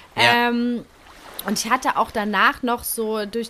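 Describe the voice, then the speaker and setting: With noticeable background noise behind her, a woman speaks at a fairly slow pace with fairly even intonation. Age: 30s. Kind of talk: casual chat.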